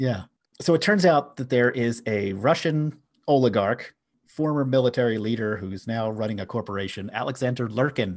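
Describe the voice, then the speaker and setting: Against a quiet background, a man with an American accent speaks in a normal speaking voice at medium pitch, with ordinary pitch variation. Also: moderate pace. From US, Philadelphia. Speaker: podcast host. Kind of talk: casual chat.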